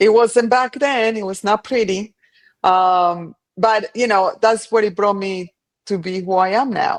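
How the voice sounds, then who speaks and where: A woman with a Colombian accent, medium pitch and ordinary pitch variation, speaking at a fairly slow pace over a quiet background. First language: Spanish. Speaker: cleaning business owner. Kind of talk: podcast interview.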